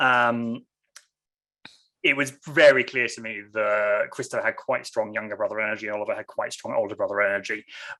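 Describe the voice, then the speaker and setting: The speaker has an English accent. The pace is fairly quick. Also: man. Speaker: novelist. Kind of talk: author interview. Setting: video call. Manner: fast.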